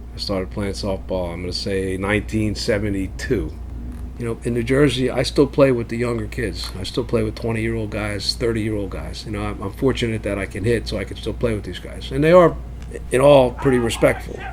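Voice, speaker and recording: A man speaks at a fairly quick pace, with audible room echo and noticeable background noise in the recording. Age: 60s. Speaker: senior softball player and car dealer. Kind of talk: documentary interview. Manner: casual, profane.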